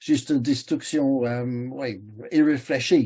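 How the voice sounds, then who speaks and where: A man with an English accent talks at a very slow pace in a dark, mellow tone. His pitch varies in an ordinary way, and the background is quiet. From England. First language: English (speaking French). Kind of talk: webinar talk. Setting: online webinar. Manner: halting, many hesitations.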